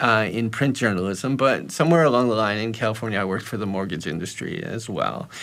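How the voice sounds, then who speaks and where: With a North American accent, a man talks at a very fast pace with hardly any pauses, medium pitch and lively intonation, and the room echo is audible. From US, New York City. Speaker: personal finance educator. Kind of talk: interview. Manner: halting, many repetitions.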